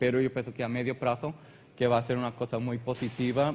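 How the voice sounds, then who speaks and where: In a Portuguese accent, a man with a medium-pitched voice speaks at a very fast pace. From Portugal. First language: Portuguese (speaking Spanish). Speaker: animal health technical manager. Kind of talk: conference presentation. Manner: hesitant.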